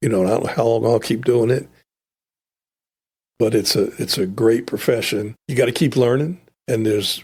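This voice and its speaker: With a somewhat breathy, medium-pitched voice, a man talks at a moderate pace with ordinary pitch variation and long, frequent pauses. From North Carolina (born New York, moved at eight). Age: 60s. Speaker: trial lawyer. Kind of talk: podcast interview. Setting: studio.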